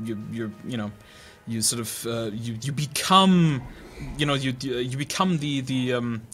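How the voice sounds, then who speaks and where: Music plays in the background while a man speaks with lively intonation. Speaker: gaming streamer. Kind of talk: political rant while playing. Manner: stuttery.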